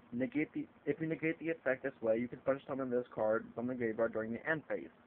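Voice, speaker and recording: Medium-pitched male voice with ordinary pitch variation. He moves along at a fairly quick pace. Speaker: card game video maker. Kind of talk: tutorial. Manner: halting; casual.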